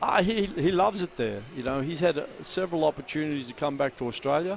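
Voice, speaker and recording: Over noticeable background noise, a man talks at a very fast pace. His voice is fairly high for a man, with lively intonation. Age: 60s. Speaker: basketball coach. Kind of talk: courtside interview.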